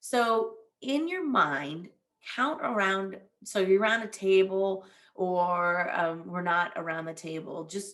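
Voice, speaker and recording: A woman with a normal speaking voice talks at a fairly low pitch, her intonation lively. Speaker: veteran career advisor. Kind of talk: presentation. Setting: virtual event.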